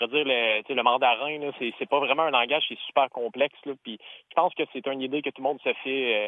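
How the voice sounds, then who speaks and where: A man talks at a very fast pace in a medium pitch. His intonation stays fairly even while his loudness swings widely. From Ontario. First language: English (speaking French). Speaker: caller, works in linguistics. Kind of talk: radio call-in. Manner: halting, many fillers.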